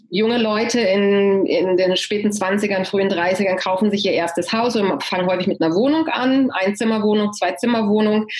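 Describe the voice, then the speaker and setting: A woman's medium-pitched voice at a moderate pace, with ordinary pitch variation, very even loudness and hardly any pauses, plus audible room echo and noticeable background noise. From Germany, Hanover. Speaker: real estate agent. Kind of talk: interview. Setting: video call.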